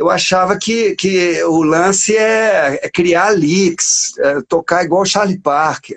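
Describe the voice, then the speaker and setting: This man speaks at a very slow pace in a high pitch, with hardly any pauses and very even loudness. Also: ordinary pitch variation. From Brazil, Minas Gerais. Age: 60s. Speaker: saxophonist and lyricist. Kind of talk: casual interview. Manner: halting, repeats words.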